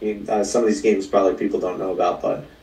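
Talking at a very fast pace, a man is heard. The recording carries noticeable background noise and audible room echo. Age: 30s. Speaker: life coach. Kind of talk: casual chat.

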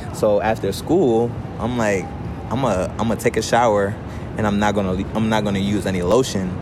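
A man speaks at a moderate pace with a fairly low pitch and monotone, flat intonation, with audible room echo and noticeable background noise. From African background. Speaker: podcast host. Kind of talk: casual chat. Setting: outdoors.

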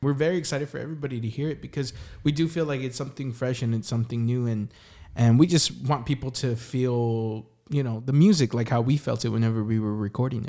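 A man with an American accent at a very fast pace, medium in pitch, dark and mellow in tone, with ordinary pitch variation. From San Antonio, Texas. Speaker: singer-songwriter. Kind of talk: casual interview chat.

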